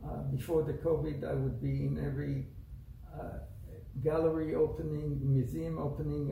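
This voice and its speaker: Noticeable background noise fills the recording. A man talks amid audible room echo. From Israel. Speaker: artist. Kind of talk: interview. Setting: art gallery. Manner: halting.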